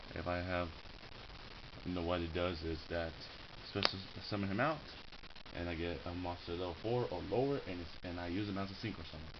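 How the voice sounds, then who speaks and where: Very deep and low in pitch, a man talks at a fairly quick pace with ordinary pitch variation. Long, frequent pauses break his speech, and audible room echo surrounds it. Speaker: card game hobbyist showing his deck. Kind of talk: casual deck showcase. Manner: halting with repetitions.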